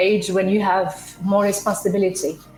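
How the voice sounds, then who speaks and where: Music plays in the background as a woman speaks at a medium pitch, her voice carrying audible room echo. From Morocco. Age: 30s. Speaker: entrepreneur. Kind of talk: interview.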